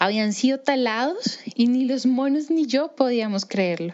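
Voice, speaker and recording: Here a woman is talking. The rise and fall of her pitch is ordinary. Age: 30s. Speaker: primatologist. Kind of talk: personal storytelling. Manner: hesitant, with fillers.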